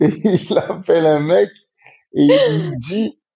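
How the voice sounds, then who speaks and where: This is a male speaker. There is a somewhat breathy quality to his voice. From Marseille, southern France. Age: 30s. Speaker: rapper. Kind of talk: casual interview chat.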